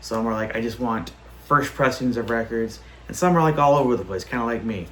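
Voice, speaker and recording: Recorded with audible room echo and noticeable background noise, a man talks at a medium pitch with ordinary pitch variation. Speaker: record collector YouTuber. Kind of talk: casual vlog show-and-tell. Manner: animated.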